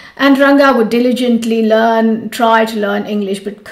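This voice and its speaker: The voice moves at a moderate pace with fairly even intonation, over audible room echo and noticeable background noise. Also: woman. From India, Mumbai. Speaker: yoga teacher. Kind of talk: storytelling.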